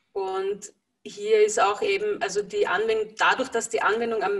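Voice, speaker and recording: With a quiet background, a woman speaks at moderate speed. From Lower Austria. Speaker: energy healer working with horses; interviewee. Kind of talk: interview. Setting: video call. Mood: calm, warm. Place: home room. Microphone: video call.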